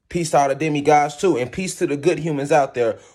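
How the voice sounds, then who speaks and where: A man speaks in an animated tone. His pitch sits fairly high. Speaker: spiritual lecturer. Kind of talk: monologue lecture to camera. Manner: fast.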